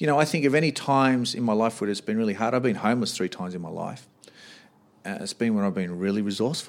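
A man with an Australian accent speaks very fast at a medium pitch, with ordinary pitch variation. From Australia, Sydney. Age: 40s. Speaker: boxing coach and gym owner. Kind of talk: casual interview.

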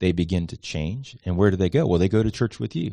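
Against a quiet background, a man with an American accent talks at a fairly quick pace with a very deep, low pitch and ordinary pitch variation. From Miami, Florida. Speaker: church association leader, church planting. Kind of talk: interview.

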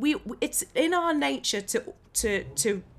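Vocal fry marks this woman's voice. She swings her pitch very widely. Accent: southern English. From Bedfordshire, England. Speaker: actress. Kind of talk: interview conversation.

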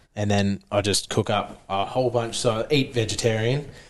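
Here a man speaks with a fairly low pitch. His intonation stays fairly even. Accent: Australian. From Queensland, Australia. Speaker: CrossFit athlete and diesel mechanic. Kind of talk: casual chat. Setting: gym.

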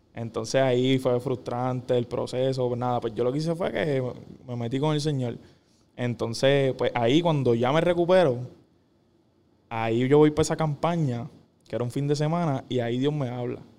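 Speaking at a moderate pace in a Puerto Rican accent, a man with a dark, mellow tone keeps his intonation fairly even and takes long, frequent pauses. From Puerto Rico, Caguas. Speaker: professional volleyball player. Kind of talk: casual interview.

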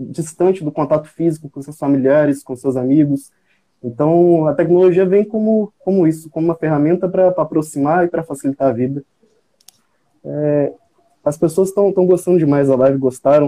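Speaking at a moderate pace, a man with a plain, everyday voice uses a fairly high pitch and ordinary pitch variation. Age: 20s. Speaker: medical student. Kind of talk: live panel moderation.

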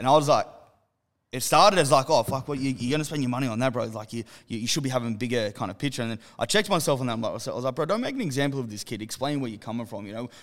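In a very clean recording with a silent background, a man speaks with an Australian accent at a very fast pace. His pitch is medium with ordinary variation. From Western Sydney, Australia. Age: 30s. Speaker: clothing brand co-founder. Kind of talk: casual chat. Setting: their own studio space.

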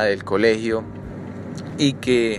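A man talks at a very slow pace, his intonation fairly even. Noticeable background noise sits behind him. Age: 20s. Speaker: podcast host, medical student. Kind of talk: motivational monologue.

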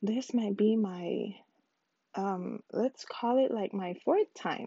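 A slow-paced woman's voice in a medium pitch, dark and mellow with a slightly husky edge, with an American accent. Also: dry, close sound with no echo.

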